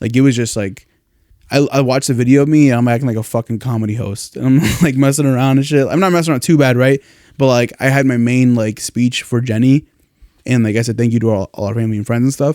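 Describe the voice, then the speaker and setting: A man mumbling at a very fast pace, medium in pitch, with fairly even intonation and a dark, mellow tone. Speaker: podcast host. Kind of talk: casual chat.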